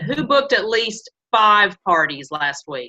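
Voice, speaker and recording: Her tone comes across sharp and bright. The speaker is a woman. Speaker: sales team leader / workshop presenter. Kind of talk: online training workshop.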